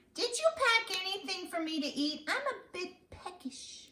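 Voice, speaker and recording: Putting on a squeaky character voice, a woman speaks at a moderate pace in an extremely high pitch. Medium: read story. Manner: whiny, dramatic.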